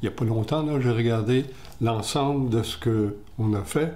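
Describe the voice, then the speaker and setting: A somewhat breathy voice at a fairly slow pace, with audible room echo. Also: man. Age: 80s+. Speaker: retired TV director interviewed about his eye disease. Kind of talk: interview.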